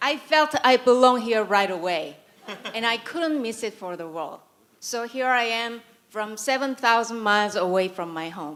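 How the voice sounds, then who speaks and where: In a Korean accent, a woman with a fairly high pitch talks at a moderate pace, her intonation lively and her loudness swinging widely. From South Korea. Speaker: writer and conference speaker. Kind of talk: conference talk.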